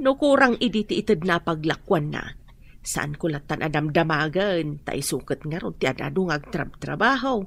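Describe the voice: A woman uses a put-on character voice with a low pitch, vocal fry and a fairly bright tone. She moves at a moderate pace with lively intonation.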